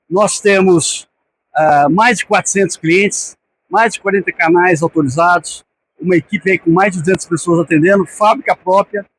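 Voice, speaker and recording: A man's high voice at a moderate pace, with ordinary pitch variation and a dry, close sound with no echo. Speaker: sales director giving a talk. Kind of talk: conference talk. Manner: casual, with hesitations and repetitions.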